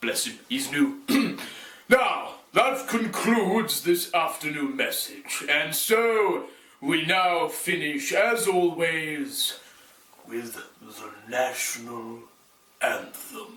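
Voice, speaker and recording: A man's put-on character voice, high-pitched, at a very slow pace. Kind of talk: official public announcement. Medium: short film. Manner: pompous.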